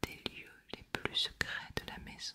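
Whispering at a very slow pace. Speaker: ASMR reader. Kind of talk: ASMR reading of a novel excerpt. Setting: close microphone recording. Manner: whispered, soft. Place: home room. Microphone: studio mic.

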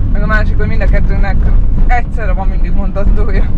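The sound of this man's voice is dry, with no echo. Loud background noise runs behind him. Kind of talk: casual travel chat. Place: car. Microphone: camera far.

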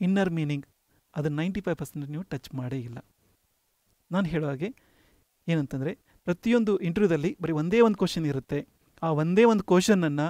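Against a quiet background, a man with a high pitch and a dark, mellow tone shows ordinary pitch variation in a dry sound with no echo. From North Karnataka, Belgaum district; Karnataka, India. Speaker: HR manager and career coach; career coach. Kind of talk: lecture. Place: studio.

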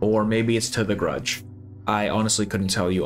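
Faint music sits in the background as a man speaks. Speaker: video game analysis creator. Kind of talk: video essay narration. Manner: casual with fillers. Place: home room.

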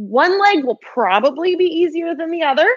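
A woman's extremely high voice at a moderate pace, against a quiet background. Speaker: fitness instructor. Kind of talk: workout instruction. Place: home room.

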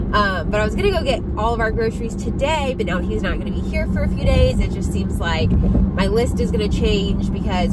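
A woman speaks at a fairly quick pace over loud background noise, her sound dry with no echo. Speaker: lifestyle vlogger. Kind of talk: casual vlog chat. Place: car. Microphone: phone near.

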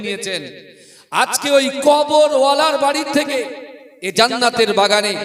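A man's voice with ordinary pitch variation and noticeable background noise. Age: 30s. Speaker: Islamic preacher. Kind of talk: sermon. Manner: loud.

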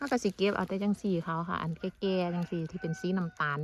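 A woman's somewhat breathy voice sits at a fairly low pitch, with ordinary pitch variation. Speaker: farmer. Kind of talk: casual vlog narration.

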